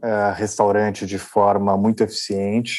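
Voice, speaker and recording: In monotone, flat intonation, a man delivers his words at a fairly low pitch. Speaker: restaurant entrepreneur. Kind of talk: interview.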